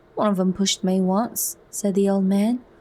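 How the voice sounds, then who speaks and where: A soft-spoken woman talks at a medium pitch with a dark, mellow tone. Her voice is somewhat breathy. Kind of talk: soft narrated audiobook reading, ASMR.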